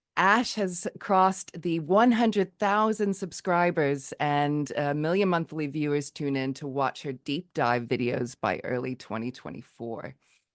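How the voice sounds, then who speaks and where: With an American accent and a very deep, low pitch, a woman speaks at a fairly slow pace with hardly any pauses, in a dry, close sound with no echo. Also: quiet background. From United States. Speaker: podcast host. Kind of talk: podcast interview; reading a guest bio.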